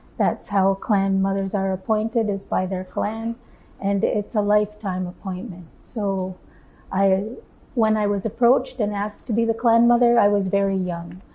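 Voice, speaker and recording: A woman with a Canadian accent talks at a moderate pace in a somewhat breathy voice, her intonation monotone and flat. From Tyendinaga Mohawk territory, Ontario, Canada; Ontario, Canada. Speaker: speaker. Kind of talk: public conversation on stage. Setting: room with live audience. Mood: calm, warm. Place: studio. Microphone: lapel.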